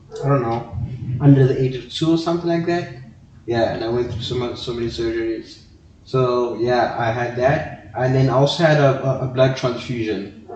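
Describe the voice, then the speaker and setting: A man talks at a moderate pace in a medium pitch. Audible room echo and noticeable background noise surround his voice. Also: ordinary pitch variation. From South Africa, Johannesburg. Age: 20s. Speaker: student and podcast guest. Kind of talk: interview. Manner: halting.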